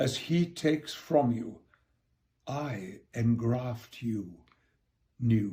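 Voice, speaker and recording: Here a man speaks with lively intonation. His voice is somewhat breathy, with a dark, mellow tone. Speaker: actor. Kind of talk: poetry reading.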